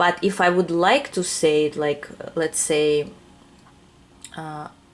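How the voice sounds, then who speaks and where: A woman with a non-native accent speaks at a very slow pace and a fairly low pitch. Noticeable background noise is present. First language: not English. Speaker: tarot reader. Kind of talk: pick-a-card tarot reading to camera. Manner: hesitant, many fillers.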